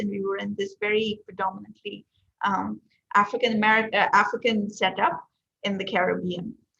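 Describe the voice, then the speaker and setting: Her pitch medium and her intonation fairly even, a woman talks at a fairly quick pace with vocal fry. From Trinidad, after early childhood in Delhi; later Vancouver. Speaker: chemistry researcher. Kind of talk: lecture.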